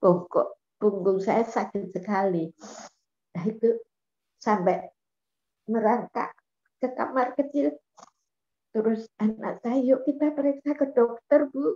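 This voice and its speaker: Her voice has a dark, mellow tone, and this woman pitches it fairly high with lively intonation. She speaks at a very slow pace, leaving long, frequent pauses. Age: 80s+. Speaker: program participant; guest. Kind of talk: testimony. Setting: video call. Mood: cheerful, laughing often. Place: home room. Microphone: video call.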